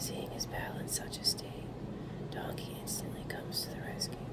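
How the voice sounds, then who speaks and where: A moderate-paced whisper against noticeable background noise. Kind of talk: ASMR whispered card reading. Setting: AC and fan background noise. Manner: whispered.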